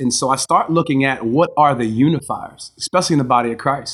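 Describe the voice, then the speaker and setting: A man with an American accent uses an ordinary speaking voice at a medium pitch, with ordinary pitch variation and a moderate pace, on a very clean recording with a silent background. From Maryland, Baltimore area. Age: 40s. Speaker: pastor. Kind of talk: interview.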